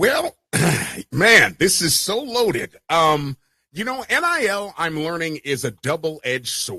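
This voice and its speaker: A man speaks loudly at a fairly slow pace, in a high pitch with very wide pitch swings. His tone is animated, bright and sharp. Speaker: sports podcast host. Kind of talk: casual sports talk show chat.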